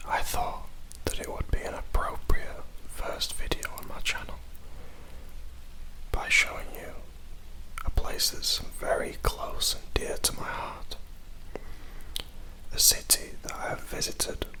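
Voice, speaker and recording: The speaker whispers at a fairly slow pace with long, frequent pauses. Noticeable background noise runs underneath. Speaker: ASMR creator. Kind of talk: ASMR guided tour. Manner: whispered.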